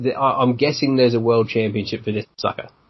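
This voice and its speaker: A man's medium-pitched, somewhat breathy voice. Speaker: sports podcast host. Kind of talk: casual chat.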